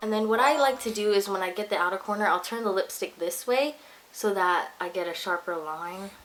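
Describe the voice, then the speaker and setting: A woman's medium-pitched voice carries ordinary pitch variation as she talks fairly quickly, with noticeable noise behind her. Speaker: beauty vlogger. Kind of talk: tutorial. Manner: casual, chatty.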